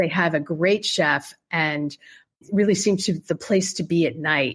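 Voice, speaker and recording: In an ordinary speaking voice, a woman talks at a fairly slow pace with fairly low pitch and ordinary pitch variation. The recording is very clean, with a silent background. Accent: American. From Pennsylvania, US. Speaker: poet and travel writer. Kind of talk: interview.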